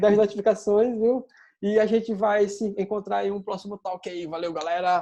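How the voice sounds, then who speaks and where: A man speaks at a moderate pace with a dark, mellow tone. His pitch sits high for a man. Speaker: UI designer giving a talk. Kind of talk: casual chat. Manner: halting, repetitive.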